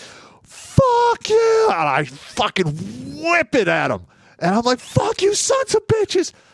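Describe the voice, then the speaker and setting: A man shouts in a put-on character voice pitched extremely high. He delivers it at a fairly slow pace. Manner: yelling, furious.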